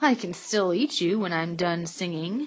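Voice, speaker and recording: Growling in a put-on character voice, a woman speaks at a medium pitch and a moderate pace. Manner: growling, threatening.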